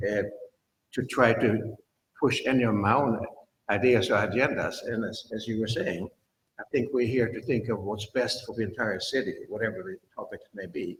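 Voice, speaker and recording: Somewhat breathy and medium in pitch, a man talks at a moderate pace with ordinary pitch variation. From Sweden. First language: Swedish. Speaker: planning commission member. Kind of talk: public meeting.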